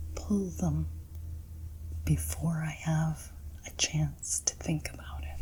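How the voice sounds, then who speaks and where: Over noticeable background noise, a soft-spoken woman talks at a very slow pace. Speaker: intuitive card reader. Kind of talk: ASMR card reading.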